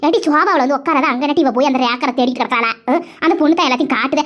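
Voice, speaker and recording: A woman uses a cartoonish character voice with a high pitch at a very fast pace. There is light background noise. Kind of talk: comic village dialect. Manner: bossy, chatty.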